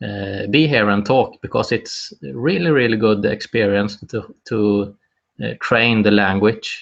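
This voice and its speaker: Someone with a Swedish accent speaks at a fairly slow pace with ordinary pitch variation. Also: man, fairly low pitch for a man. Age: 30s. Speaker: wellbeing activist, video host. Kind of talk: live solo presentation. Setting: live video broadcast. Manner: halting, many fillers.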